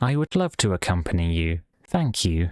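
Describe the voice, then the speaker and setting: A man puts on a character voice with a very deep, low pitch. His intonation is lively and his pace is moderate. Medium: read story.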